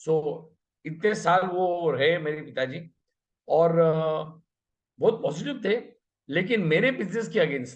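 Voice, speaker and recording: A man speaks at a high pitch with lively intonation. He leaves long, frequent pauses. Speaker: network marketing manager. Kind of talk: motivational business talk.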